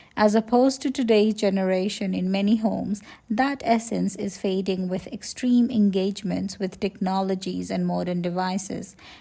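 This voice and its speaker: In a Nepali accent, a woman speaks at a medium pitch with a dark, mellow, somewhat breathy tone. Her intonation stays fairly even. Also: moderate pace. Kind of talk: personal reflective narration.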